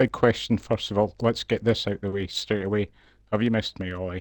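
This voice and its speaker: With a Scottish accent, a man talks at a fairly quick pace in a fairly low, monotone voice, the sound dry and close with no echo. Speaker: sim racing co-commentator. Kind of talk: live commentary.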